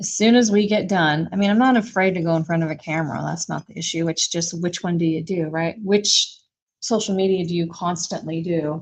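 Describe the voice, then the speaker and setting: A woman talks at a fairly quick pace in a somewhat breathy voice. Her pitch sits fairly low, with ordinary variation. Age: 60s. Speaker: small business owner and furniture refinisher. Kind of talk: casual livestream chat.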